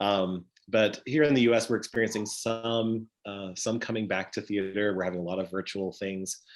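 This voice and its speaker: A man with an American accent and fairly even intonation, over a quiet background. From United States. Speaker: stage manager and software company presenter. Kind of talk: online conference presentation.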